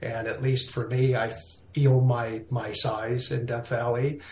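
A man's somewhat breathy, medium-pitched voice in a monotone, flat delivery. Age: 50s. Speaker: landscape photographer. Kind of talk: casual interview.

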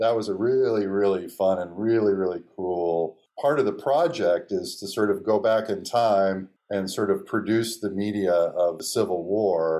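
At a moderate pace, a man with a fairly low pitch and ordinary pitch variation talks in a normal speaking voice. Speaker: film writer director. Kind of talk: interview.

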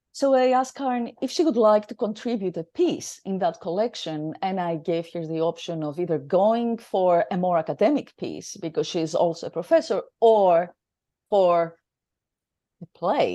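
Against a quiet background, a woman with a Greek accent speaks at a medium pitch in a dark, mellow tone with lively intonation. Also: moderate pace. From Greece. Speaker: theatre director and academic. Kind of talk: interview. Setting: studio.

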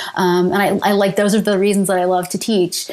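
A woman with a Canadian accent at a fairly quick pace over noticeable background noise. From Canada, London, Ontario. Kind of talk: interview.

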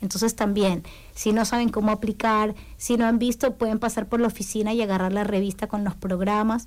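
Her voice fairly high-pitched, a woman talks at a fairly quick pace with monotone, flat intonation and very even loudness. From Ecuador, Guayaquil (coast). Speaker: community services worker. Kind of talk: radio interview. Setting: radio studio.

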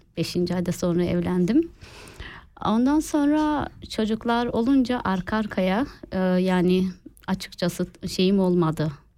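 Speaking at a fairly slow pace, a woman with a medium pitch and a dark, mellow tone uses lively intonation on a very clean recording with a silent background. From Turkey. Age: 30s. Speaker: home cook with food page. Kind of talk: interview. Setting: studio.

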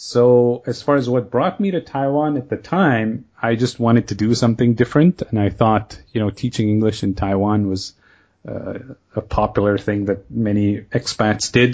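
Medium in pitch with ordinary pitch variation, a man with an unremarkable speaking voice talks at a moderate pace. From Kenya and Canada. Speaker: podcast host and online language course founder. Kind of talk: casual interview, being interviewed.

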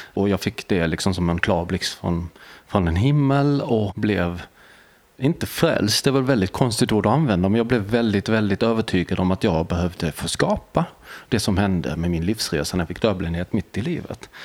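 This man has an ordinary speaking voice, fairly low in pitch, with lively intonation at a moderate pace. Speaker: deafblind artist, author and lecturer. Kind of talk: casual interview. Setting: hotel.

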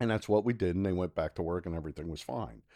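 A man talks at a very fast pace in a very deep, low pitch with ordinary pitch variation. His tone is dark and mellow, and the background is quiet. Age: 50s. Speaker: welding inspector and field operations manager. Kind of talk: casual interview. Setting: in-person studio.

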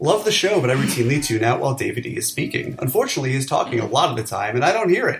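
A man with an American accent speaks at a very fast pace with hardly any pauses, over noticeable background noise. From New York City. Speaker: podcast host, film critic. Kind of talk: casual banter podcast about movies. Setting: home recording, remote.

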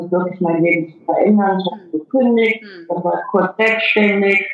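Noticeable background noise and audible room echo surround the recording. A woman speaks at a moderate pace and medium pitch with ordinary pitch variation. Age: 50s. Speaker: adventurer and life coach. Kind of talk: interview. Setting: Skype call. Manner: hesitant, many fillers.

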